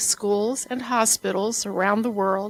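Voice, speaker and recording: A woman talks at a moderate pace with fairly even intonation. The sound is dry and close with no echo, though background noise is noticeable. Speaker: university administrator. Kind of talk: formal introduction speech.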